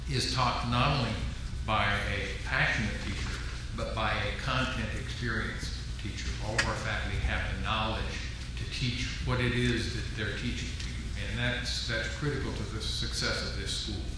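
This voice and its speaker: At a moderate pace, a man talks amid strong room echo and noticeable background noise. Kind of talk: welcome speech. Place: hall. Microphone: podium.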